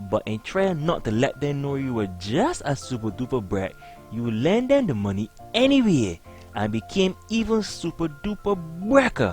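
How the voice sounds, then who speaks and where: Over music in the background, a man with a Barbadian accent speaks at a moderate pace in a fairly high pitch, playful in tone with very wide pitch swings. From Barbados. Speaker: comedic storyteller. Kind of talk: comedic monologue. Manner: playful, humorous.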